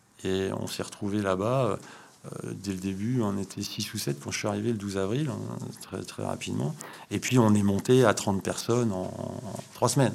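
Speaking at a moderate pace, a man uses a fairly low pitch with ordinary variation. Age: 50s. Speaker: startup co-founder and energy engineer. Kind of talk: interview. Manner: hesitant, many repetitions.

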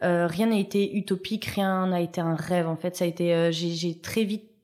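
Noticeable background noise is present. A woman talks at a fairly slow pace. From Paris suburbs, France. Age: 30s. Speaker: TV pastry contestant and food business coach. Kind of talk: interview. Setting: studio.

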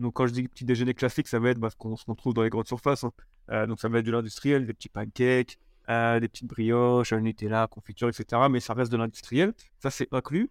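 Very fast, flat, monotone speech from a man at medium pitch, dry and close with no echo. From Paris region, France. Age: 30s. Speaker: entrepreneur. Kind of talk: interview. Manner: halting, many repetitions and fillers.

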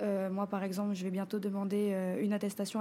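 A woman speaks at a moderate pace in a medium pitch. Her voice is somewhat breathy with a dark, mellow tone. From French Polynesia, Papara (Tahiti west coast). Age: 20s. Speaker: feminist artist and activist. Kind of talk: interview.

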